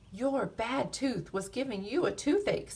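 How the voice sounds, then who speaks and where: A put-on character voice at a fairly high pitch swings very widely in pitch. It moves at a moderate pace over light background noise. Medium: read story.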